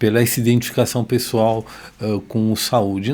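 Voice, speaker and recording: The speaker is a man with a medium pitch. He keeps a moderate pace. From Brazil, São Paulo. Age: 60s. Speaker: cardiologist and medical expert. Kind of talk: podcast interview. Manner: hesitant, many fillers.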